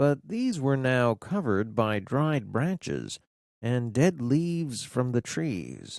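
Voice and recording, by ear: Lively intonation fills this reading aloud in a natural voice, with a quiet background behind it.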